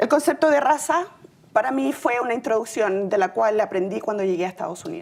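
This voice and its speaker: A woman talks at a fairly quick pace in a fairly high pitch. Her pitch swings very widely over noticeable background noise. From Chile. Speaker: city employee sharing immigrant story. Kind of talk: personal testimony speech.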